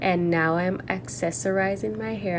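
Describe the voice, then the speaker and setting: Audible room echo and noticeable background noise fill the recording. A woman speaks at a fairly slow pace with a fairly low pitch. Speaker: natural hair vlogger. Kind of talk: tutorial. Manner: casual, chatty.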